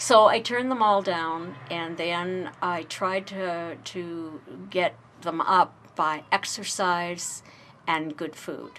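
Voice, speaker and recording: A woman speaks very slowly at a fairly low pitch with fairly even intonation, her bright, sharp tone showing big swings in loudness. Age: 60s. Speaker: interviewee sharing life story. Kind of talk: personal interview. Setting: radio interview.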